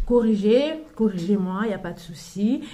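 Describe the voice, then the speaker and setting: A somewhat breathy woman's voice with a non-native accent and audible room echo. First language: not French (speaking French). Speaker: mother sharing parenting advice. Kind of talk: casual vlog talk. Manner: halting, many fillers and restarts.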